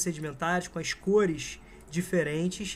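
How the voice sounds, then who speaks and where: A man's high voice with a Brazilian accent, fairly even intonation and a moderate pace. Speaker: geography teacher. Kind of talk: lecture. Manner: casual, conversational.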